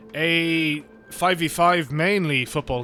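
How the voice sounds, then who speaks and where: A man mumbling at a high pitch, his tone bright and sharp. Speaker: gaming video creator. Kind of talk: casual gameplay commentary. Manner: mumbly.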